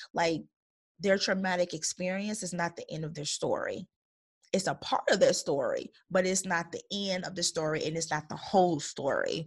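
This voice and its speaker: An animated-sounding woman talks at a moderate pace. The background is quiet. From Chicago Heights, Illinois, US. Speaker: podcast host and women's coach. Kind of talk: solo podcast monologue.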